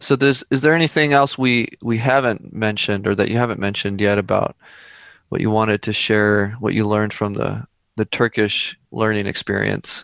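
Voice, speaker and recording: Recorded dry and close with no echo and a quiet background, a man speaks at a moderate pace in a fairly low voice with ordinary pitch variation. He has an unremarkable speaking voice. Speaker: podcast host. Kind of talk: interview.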